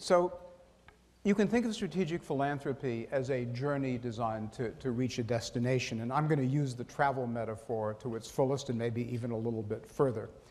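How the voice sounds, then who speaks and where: Audible room echo surrounds a man talking at a fairly quick pace and medium pitch. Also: ordinary pitch variation. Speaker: foundation president giving keynote. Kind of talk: conference speech. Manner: fast.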